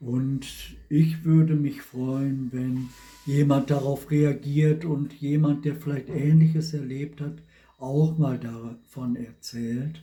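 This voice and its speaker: The voice is monotone, with flat intonation, and moves at a very slow pace. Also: man, fairly high pitch for a man. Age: 70s. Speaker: vlogger. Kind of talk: personal testimony monologue.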